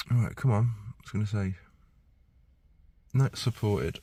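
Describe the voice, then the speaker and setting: A somewhat breathy, dark, mellow male voice on a very clean recording with a silent background. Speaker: mobile car diagnostics technician. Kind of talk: casual work vlog. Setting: inside a car at a dealership. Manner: thinking aloud, hesitant; quiet.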